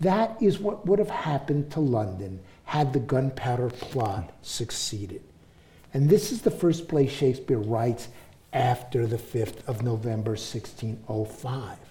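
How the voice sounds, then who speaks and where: In a room with audible echo, a man with a New York accent speaks at a fairly slow pace in a medium-pitched, somewhat breathy voice with a dark, mellow tone and very wide pitch swings. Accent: New York American. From US, New York City. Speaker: professor and author. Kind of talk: public talk with audience. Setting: stage with audience.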